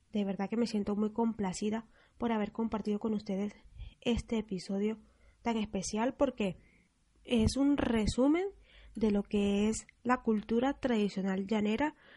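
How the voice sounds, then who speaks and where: A woman with a fairly high pitch and ordinary pitch variation speaks at a fairly slow pace, her dark, mellow tone somewhat breathy against a quiet background. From Venezuela, Apure llanos. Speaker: radio host. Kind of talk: scripted radio presentation.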